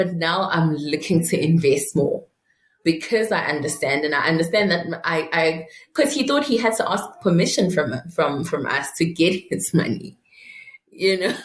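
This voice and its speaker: A woman with a Zulu accent at a fairly low pitch, somewhat breathy, with lively intonation, very even loudness and a moderate pace. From South Africa, Mpumalanga. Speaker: private wealth advisor. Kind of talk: interview. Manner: halting.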